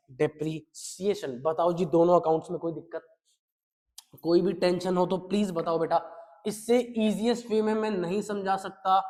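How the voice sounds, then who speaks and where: A man talks at a fairly slow pace in an animated tone. His pitch is high, with ordinary variation. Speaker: accountancy teacher. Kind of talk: lecture.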